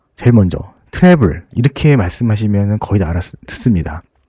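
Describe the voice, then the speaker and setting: A dark, mellow tone with very wide pitch swings at a moderate pace, in a dry, close sound with no echo. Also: man. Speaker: travel guide. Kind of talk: tutorial. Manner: casual, hesitant with fillers.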